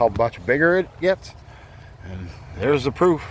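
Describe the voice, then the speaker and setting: A loud, fairly high-pitched male voice at a moderate pace over noticeable background noise. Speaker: gardener. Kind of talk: garden tour. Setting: outdoors. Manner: casual, halting.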